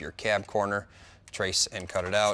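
A man speaks fairly quickly while light background noise runs underneath. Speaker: auto restoration show host. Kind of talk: tutorial. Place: garage.

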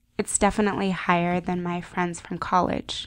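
Recorded very cleanly with a silent background, a woman with an American accent speaks at a medium pitch and a fairly slow pace. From United States (Japanese American). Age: young. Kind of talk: personal digital story voiceover. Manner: reflective, quiet.

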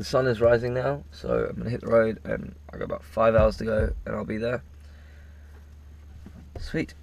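A man's voice comes through dry, with no echo at all. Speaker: road-trip vlogger. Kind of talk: casual vlog chat. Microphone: camera far.

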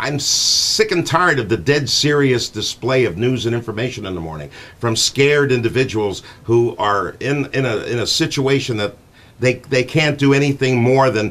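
Here a man speaks with an American accent. His pace is moderate and his pitch varies in an ordinary way. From Connecticut, USA. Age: 60s. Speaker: morning radio show host. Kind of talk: radio show talk, casual and chatty. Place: studio. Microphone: studio mic.

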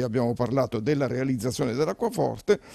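The man's voice carries a dark, mellow tone. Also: quiet background. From Abruzzo, Italy. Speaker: journalist and cookbook author; journalist. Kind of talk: TV interview. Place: studio. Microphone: handheld.

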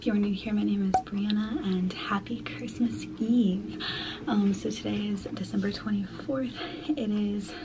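A woman speaks at a fairly slow pace with few pauses and fairly even intonation over clear background noise. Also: medium pitch for a woman.

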